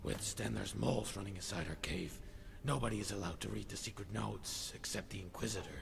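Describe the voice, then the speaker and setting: Over loud background noise, a man in a put-on character voice rattles along at a very fast pace with a very deep, low pitch. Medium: video game. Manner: guarded, secretive.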